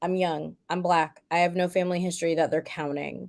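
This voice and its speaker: A woman speaks with an American accent. Her tone is dark and mellow. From US South. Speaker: author and cancer survivor. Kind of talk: casual chat.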